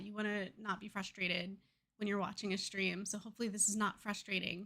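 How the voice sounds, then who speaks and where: A soft-spoken woman at a fairly high pitch and moderate pace. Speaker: gaming streamer. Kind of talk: live game stream commentary. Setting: live stream. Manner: quiet. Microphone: audio cutting out, too quiet.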